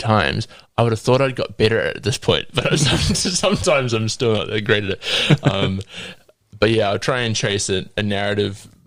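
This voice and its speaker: This man's medium-pitched voice moves fairly quickly, its pitch varying in an ordinary way. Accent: New Zealand. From New Zealand, South Auckland. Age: 20s. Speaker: guest sharing testimony. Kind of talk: testimony; casual chat.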